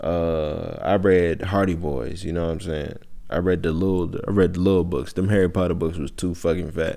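In a room with audible echo, a man with a very deep, low pitch speaks in a relaxed, dark, mellow tone with fairly even intonation. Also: moderate pace. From Georgia, US South. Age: 20s. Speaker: podcast host. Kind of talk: casual monologue. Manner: relaxed, conversational.

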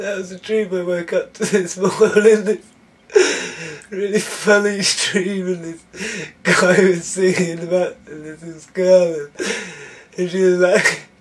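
Speech comes at a very slow pace, with loudness rising and falling sharply. The intonation stays fairly even over noticeable background noise. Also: man, high pitch for a man. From southern England, Banbury area (Oxfordshire). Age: 30s. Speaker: spiritual video maker. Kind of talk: spiritual monologue.

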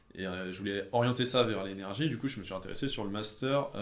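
Audible room echo surrounds a man talking at a fairly quick pace with a fairly low pitch and ordinary pitch variation. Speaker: engineering student. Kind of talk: casual chat.

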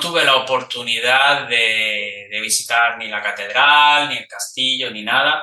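Audible room echo surrounds a man speaking very slowly. His pitch is medium, with ordinary variation. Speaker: podcast host and online Spanish teacher. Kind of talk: interview for Spanish learners. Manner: slow, clear delivery for learners.

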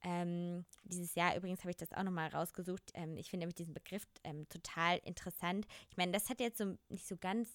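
A woman with a fairly low pitch speaks at a fairly quick pace with hardly any pauses and fairly even intonation, in a very clean recording with a silent background and a dry, close sound with no echo. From Germany, small village. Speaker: podcast co-host. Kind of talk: casual chat.

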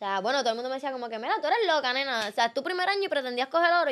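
Speaking at a very fast pace with a Puerto Rican accent, a woman uses a high pitch, lively intonation and an animated tone. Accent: Puerto Rican, noticeable. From Puerto Rico. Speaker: athlete. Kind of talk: casual chat.

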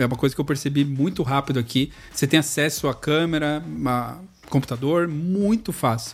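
A man speaks at a moderate pace in an unremarkable speaking voice, fairly high in pitch. His loudness stays very even, and his pitch varies in an ordinary way. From São Paulo east zone, Brazil. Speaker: video editor and podcast host. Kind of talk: casual chat. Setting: video call.

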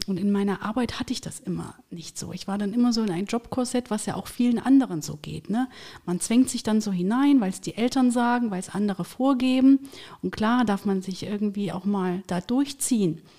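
In a very clean recording with a silent background, a woman speaks at a fairly quick pace, somewhat breathy, with a dark, mellow tone. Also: medium pitch for a woman, ordinary pitch variation. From Thuringia, eastern Germany. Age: 40s. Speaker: career coach and HR consultant. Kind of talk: casual interview.

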